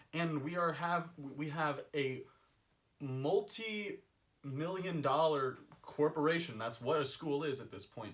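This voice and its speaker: Very slowly and at a fairly high pitch, a man speaks with ordinary pitch variation and big swings in loudness. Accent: Californian. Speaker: college student. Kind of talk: casual chat.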